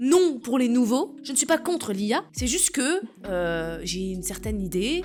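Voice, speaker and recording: A loud, high-pitched woman's voice at a fairly slow pace, with very wide pitch swings. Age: 20s. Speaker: AI speaker and streamer. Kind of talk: casual chat. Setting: live stream.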